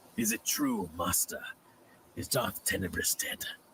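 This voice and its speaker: A man speaks at a moderate pace in a put-on character voice, the sound dry and close with no echo. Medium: game stream. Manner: arrogant.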